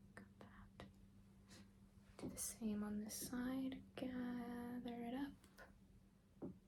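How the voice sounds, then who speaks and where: Soft-spoken words come out at a very slow pace. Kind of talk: ASMR hair-salon roleplay, soft-spoken stylist talking to the viewer.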